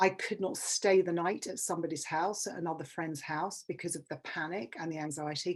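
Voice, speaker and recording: A woman with a London accent talks at a fairly quick pace, hardly pausing at all. Her pitch is fairly low, with ordinary pitch variation. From England. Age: 50s. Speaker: public speaker. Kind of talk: workshop talk.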